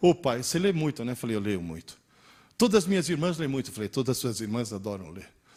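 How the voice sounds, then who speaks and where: A man talks at a very fast pace with a medium pitch. His pitch swings very widely and his loudness shifts a lot. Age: 60s. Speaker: teacher. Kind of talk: lecture. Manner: animated.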